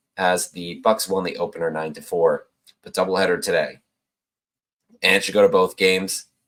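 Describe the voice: A man uses a put-on character voice that is very deep, low, raspy and hoarse. He talks at a moderate pace with big swings in loudness and long, frequent pauses.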